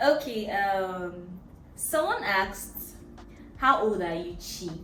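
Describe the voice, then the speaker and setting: A woman with a Nigerian accent at a medium pitch for a woman, very slow pace and lively intonation, with noticeable background noise and audible room echo. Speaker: vlogger. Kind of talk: casual Q&A chat.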